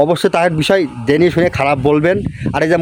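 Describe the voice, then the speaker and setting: Noticeable background noise runs beneath a man whose pitch varies in an ordinary way. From Bangladesh, Satkhira district. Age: 20s. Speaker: YouTuber. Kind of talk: vlog monologue.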